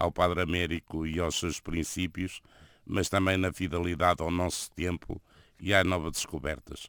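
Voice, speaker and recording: In a European Portuguese accent, a man speaks with a very deep, low pitch. His pace is fairly slow and his intonation fairly even. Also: very clean recording, silent background. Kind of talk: radio interview.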